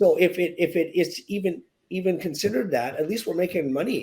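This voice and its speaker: Speaking at a fairly quick pace, a man with a Western Canadian accent has a high pitch. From Canada, British Columbia (Victoria). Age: 60s. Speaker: real estate agent. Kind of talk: podcast interview. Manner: halting, with repetitions.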